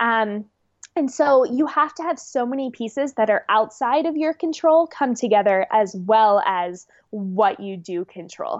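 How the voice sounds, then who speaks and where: A plain, everyday voice from a woman with an American accent, fairly high in pitch, at a fairly slow pace. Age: 20s. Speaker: professional distance runner. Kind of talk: interview.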